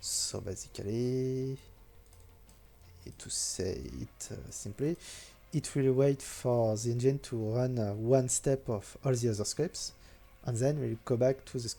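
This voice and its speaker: Music plays behind a man with a French accent who speaks at a medium pitch and a fairly slow pace, leaving long, frequent pauses. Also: fairly even intonation. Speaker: game modder. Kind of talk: programming tutorial narration. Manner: hesitant, many filler sounds.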